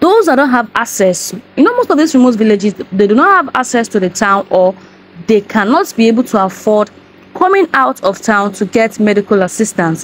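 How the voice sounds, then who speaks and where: A woman talks at a fairly quick pace in a dry sound with no echo. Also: lively intonation. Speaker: vlogger. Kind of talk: casual vlog commentary. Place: home room. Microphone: lapel.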